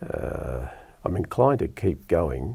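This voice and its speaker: A man talks very slowly with an Australian accent. The recording is very clean with a silent background. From Melbourne, Australia (Lalor). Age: 60s. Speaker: radio presenter. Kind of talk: casual chat. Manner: hesitant.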